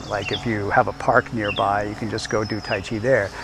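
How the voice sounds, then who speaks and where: Moderate-paced speech from a man, with a dry sound with no echo and noticeable background noise. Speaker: tai chi instructor. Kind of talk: tutorial. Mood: calm, soothing. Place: garden.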